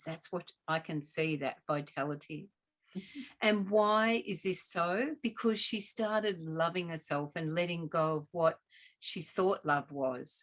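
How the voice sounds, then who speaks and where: In a normal speaking voice, a woman talks at a fairly low pitch with ordinary pitch variation. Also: fairly slow pace. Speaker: host, doctor. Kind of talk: interview conversation host.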